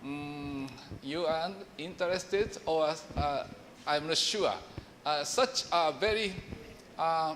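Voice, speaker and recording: Pausing long and often, a man with a Japanese accent speaks at a very slow pace in a fairly high pitch with ordinary pitch variation, amid audible room echo. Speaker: professor. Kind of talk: lecture. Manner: halting.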